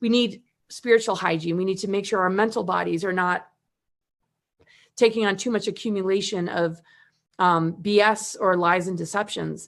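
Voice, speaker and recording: A woman at a medium pitch speaks at a moderate pace with fairly even intonation and long, frequent pauses against a quiet background. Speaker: spiritual teacher and event host. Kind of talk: livestream panel talk. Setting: live video stream.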